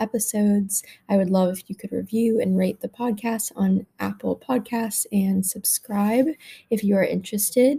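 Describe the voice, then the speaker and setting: A woman's somewhat breathy, dark, mellow voice at a medium pitch, with fairly even intonation and a fairly slow pace. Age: young. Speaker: podcast host. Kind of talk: scripted podcast intro and outro.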